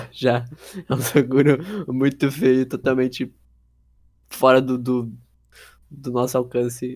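A man at a very slow pace, monotone and flat, with long, frequent pauses. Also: medium pitch for a man. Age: young. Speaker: podcast co-host. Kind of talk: casual chat.

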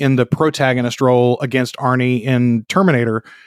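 A man with an American accent at medium pitch and moderate pace, on a very clean recording with a silent background and a dry, close sound with no echo. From North Louisiana, US South. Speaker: podcast producer and film podcast guest. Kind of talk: casual chat. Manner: talkative.

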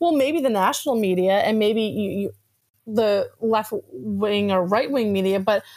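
In an American accent, a woman with a fairly high pitch speaks at a moderate pace in an animated tone with lively intonation, on a very clean recording with a silent background. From New Jersey, Atlantic City area. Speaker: newspaper reporter. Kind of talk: interview.

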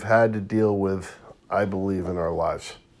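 A man's ordinary speaking voice at a fairly slow pace with fairly even intonation. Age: 50s. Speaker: market commentator. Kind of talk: monologue video update.

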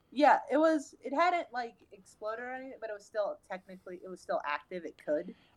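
A woman with a New York accent speaks fairly quickly and high for her voice, with hardly any pauses, very wide pitch swings and big jumps in loudness. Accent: New York City. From New York City. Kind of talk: casual chat.

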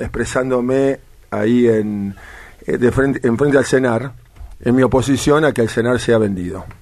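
A man at a medium pitch talks fairly slowly in an ordinary speaking voice, with ordinary pitch variation. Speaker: sports coach and sports policy adviser. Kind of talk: interview.

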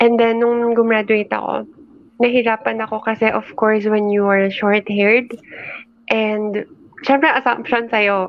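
A fairly high-pitched woman talks with a Filipino accent at a moderate pace, her intonation monotone and flat. Noticeable background noise is present. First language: Tagalog. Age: 20s. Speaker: entrepreneur and YouTube creator. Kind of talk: casual interview with Taglish code-switching.

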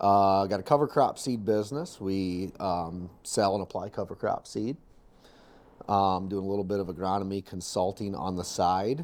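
At a moderate pace, a man with a normal speaking voice talks at a fairly low pitch with ordinary pitch variation. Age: 30s. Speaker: farmer. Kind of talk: casual chat.

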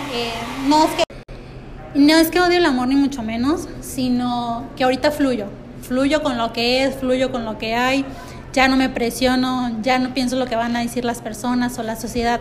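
A woman talks at a moderate pace with a high pitch and fairly even intonation. Noticeable background noise and audible room echo are present. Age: 30s. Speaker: podcast co-host. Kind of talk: casual chat. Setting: café.

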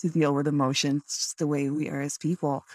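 A woman at a very deep, low pitch, in a very clean recording with a silent background and a dry, close sound with no echo. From Canada. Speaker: podcast host and creator. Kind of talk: casual interview chat.

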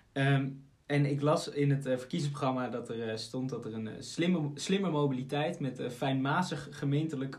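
Audible room echo surrounds a voice with fairly even intonation at a moderate pace. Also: man. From Aalsmeer, Netherlands. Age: 20s. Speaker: podcast host and law student. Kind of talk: interview.

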